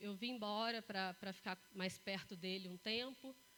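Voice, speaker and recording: A woman's voice with fairly even intonation amid noticeable background noise. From Brazil, Três Corações, Minas Gerais. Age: 40s. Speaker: motivational speaker. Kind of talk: talk to live audience.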